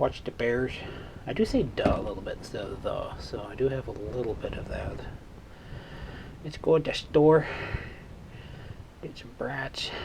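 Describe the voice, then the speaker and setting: A man talks at a moderate pace with big swings in loudness. He leaves long, frequent pauses. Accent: slight Chicago. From Chicago, south side (Morgan Park). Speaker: hobbyist electronics repairer, channel owner. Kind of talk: casual workbench vlog. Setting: home workbench with Christmas music playing. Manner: casual, rambling with fillers.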